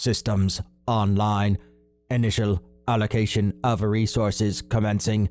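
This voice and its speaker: Using a put-on character voice, a man speaks at a fairly low pitch in a monotone, flat way, with a dry, close sound with no echo and faint music in the background. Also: fairly slow pace. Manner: neutral monotone.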